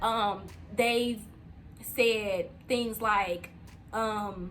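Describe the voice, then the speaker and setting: A woman's fairly high, fairly even voice in audible room echo. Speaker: entrepreneur and channel host. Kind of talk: casual vlog talk to camera.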